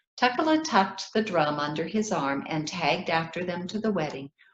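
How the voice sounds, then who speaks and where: An unremarkable speaking voice with an American accent and ordinary pitch variation. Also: woman. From Ethiopia. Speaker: children's author. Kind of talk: reading aloud.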